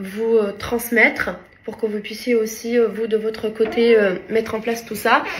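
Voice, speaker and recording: A woman at a fairly high pitch, with monotone, flat intonation and a fairly slow pace. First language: not French (speaking French). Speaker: lifestyle vlogger. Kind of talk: casual vlog talk to camera. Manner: halting, many hesitations.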